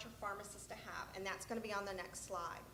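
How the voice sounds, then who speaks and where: A woman speaks loudly. Her voice carries audible room echo over noticeable background noise. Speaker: state health program presenter. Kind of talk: conference presentation.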